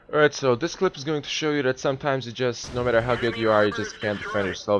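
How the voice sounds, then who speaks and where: A man's voice, with ordinary pitch variation, carries over noticeable background noise. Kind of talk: game tutorial commentary. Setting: low-quality microphone. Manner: casual.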